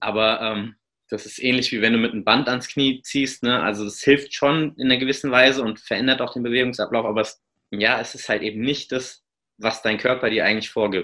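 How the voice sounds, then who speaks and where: A man talks at a fairly quick pace with a medium pitch and fairly even intonation in a plain, everyday voice. The background is quiet. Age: 30s. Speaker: obstacle racer and running coach. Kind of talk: casual interview.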